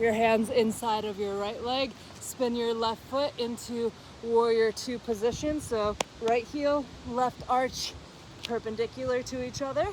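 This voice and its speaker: Noticeable background noise sits behind the voice. The speech moves at a fairly slow pace. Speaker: yoga teacher. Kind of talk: guided yoga class instruction. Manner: slow, deliberate pacing.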